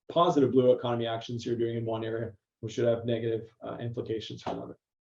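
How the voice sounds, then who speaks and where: A man's voice of medium pitch sounds somewhat breathy and flat in intonation. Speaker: academic presenter. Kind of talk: presentation. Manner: fast.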